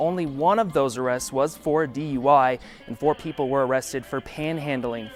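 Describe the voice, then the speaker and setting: Over music in the background, a man with a fairly high pitch talks at a fairly quick pace. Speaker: TV news anchor. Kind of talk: TV newscast anchor read. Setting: studio.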